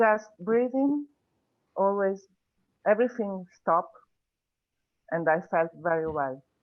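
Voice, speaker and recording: Speaking with a non-native accent, a woman uses lively intonation broken by long, frequent pauses. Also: medium pitch for a woman, fairly slow pace. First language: not English. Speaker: meditation student. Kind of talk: sharing experience. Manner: halting.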